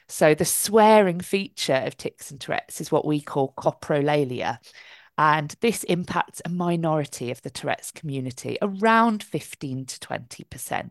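In a dry, close recording with no echo and a quiet background, a woman with a very deep, low pitch speaks at a moderate pace in an enthusiastic tone, her lively intonation paired with big swings in loudness. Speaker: charity advocacy manager and occupational therapist. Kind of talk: panel discussion. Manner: articulate, enthusiastic.

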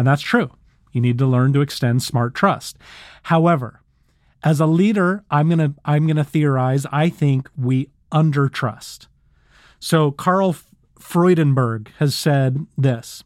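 Speech comes at a fairly slow pace over a very clean recording with a silent background. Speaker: podcast host and leadership speaker. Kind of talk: casual conversational podcast recording. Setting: studio. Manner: enthusiastic, talkative.

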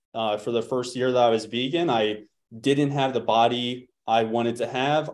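Pitched in the medium range, a man talks at a moderate pace in an unremarkable speaking voice with fairly even intonation. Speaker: fitness coach. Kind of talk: casual chat. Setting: video call.

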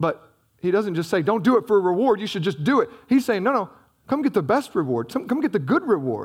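Very wide pitch swings run through a man's high voice as he talks at a very fast pace. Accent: Southern US. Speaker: pastor. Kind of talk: sermon. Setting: church. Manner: fast talker.

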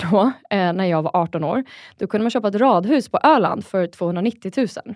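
In an unremarkable speaking voice at medium pitch, a woman talks at a fairly slow pace with lively intonation, on a very clean recording with a silent background and a dry, close sound with no echo. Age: 30s. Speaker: angel investor. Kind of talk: interview.

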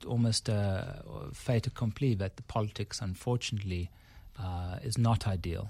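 Very clean and silent in the background, this recording has a man speaking at a fairly low pitch with ordinary variation. He sounds somewhat breathy and keeps a moderate pace. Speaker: business consultancy chief executive. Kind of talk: radio interview.

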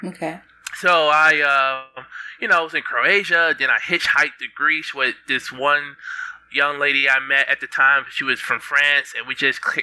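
The man speaks with an American accent and fairly even intonation. Noticeable background noise runs underneath. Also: moderate pace. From Detroit, Michigan, US. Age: 30s. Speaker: entrepreneur.

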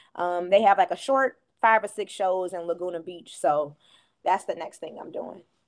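Her loudness swings widely as a woman talks at a moderate pace and medium pitch with ordinary pitch variation. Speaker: singer. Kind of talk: casual interview.

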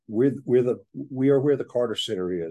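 A man's dark, mellow voice in a Southern US accent, with ordinary pitch variation, over a quiet background. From Georgia, US South. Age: 70s. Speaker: author and staffing recruiter. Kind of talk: casual interview conversation.

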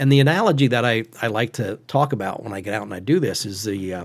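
A man speaks at a fairly quick pace with a central Pennsylvania accent and a medium pitch. His pitch varies in an ordinary way on a very clean recording with a silent background. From Pennsylvania, Western Schuylkill County. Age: 50s. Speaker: hunting advocate. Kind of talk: podcast interview.

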